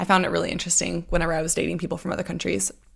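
With an American accent, a woman speaks at a fairly low pitch with vocal fry. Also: very clean recording, silent background. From Texas. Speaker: podcast host. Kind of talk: solo podcast monologue with personal anecdotes. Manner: fast talker, sometimes slurs words together; friendly, conversational.

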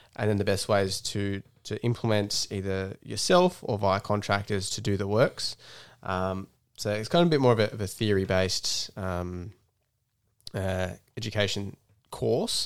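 In an Australian accent, the speaker keeps a moderate pace and fairly even intonation on a very clean recording with a silent background. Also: man, fairly low pitch for a man. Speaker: conservation bush crew worker and podcast co-host. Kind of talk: casual chat.

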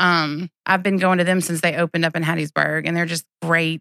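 A woman with a Southern US accent talks at a fairly quick pace in a fairly low pitch with a bright, sharp tone. The sound is dry and close with no echo, and the recording is very clean with a silent background. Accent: US South. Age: 40s. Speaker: teacher. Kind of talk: casual interview.

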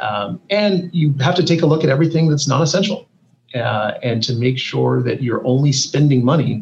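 At a fairly quick pace, a somewhat breathy man speaks at a medium pitch with ordinary pitch variation. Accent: American. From US West Coast (Silicon Valley, California). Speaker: biotech CEO. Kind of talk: interview.

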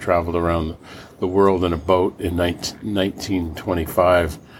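With an American accent, a man speaks very slowly at a very deep, low pitch over noticeable background noise. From Los Angeles, California. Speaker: solar energy entrepreneur. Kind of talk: interview storytelling.

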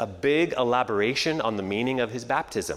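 Ordinary pitch variation in a Canadian accent, with noticeable background noise. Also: man. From Canada. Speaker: pastor. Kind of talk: sermon. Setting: church.

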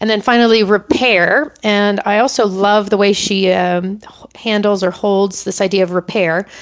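Ordinary pitch movement and a medium pitch from a woman with an ordinary speaking voice. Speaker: coaching podcast host. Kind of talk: solo monologue, book recommendations. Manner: many filler words, conversational.

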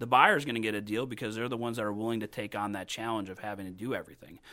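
A man talks at a very fast pace and medium pitch in a bright, sharp tone on a very clean recording with a silent background. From northwest Indiana, US Midwest. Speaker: real estate agent. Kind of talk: interview.

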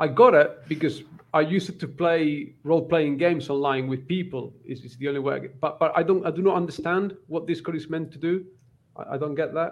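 A man's normal speaking voice, fairly high in pitch, at a fairly quick pace, with fairly even intonation and big swings in loudness. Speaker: book YouTuber. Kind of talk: casual chat. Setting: video call. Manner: self-deprecating, joking.

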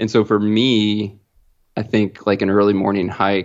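With a plain, everyday voice, a man speaks at a moderate pace and fairly low pitch, his intonation fairly even. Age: 30s. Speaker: hunter and outdoor gear company employee. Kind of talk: casual chat.

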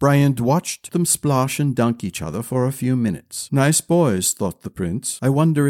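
Someone gives a plain reading aloud, and the pitch shifts by an ordinary amount.

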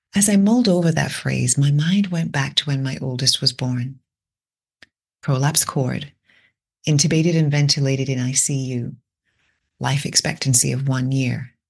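A woman with a very deep, low pitch and a somewhat breathy voice speaks at a moderate pace. She leaves long, frequent pauses, and her pitch varies in an ordinary way. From Britain. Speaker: podcast host. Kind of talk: reflective monologue.

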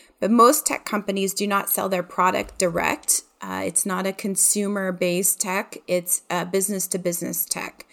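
With a Midwestern American accent, a woman speaks at medium pitch and a moderate pace, with fairly even intonation and hardly any pauses. The recording is very clean, with a silent background. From Ohio, US Midwest. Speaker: marketing director and podcast host. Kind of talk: casual interview chat.

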